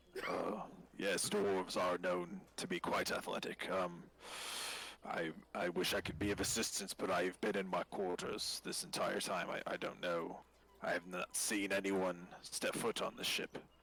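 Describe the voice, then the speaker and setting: A man puts on a character voice at a moderate pace. It sounds raspy and very deep. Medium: actual play. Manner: polite, measured.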